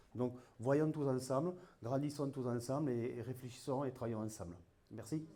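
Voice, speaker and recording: In a room with audible echo, a man speaks at a moderate pace in a medium pitch, with ordinary pitch variation and a dark, mellow tone. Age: 60s. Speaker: municipal election candidate. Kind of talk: campaign speech. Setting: public hall meeting.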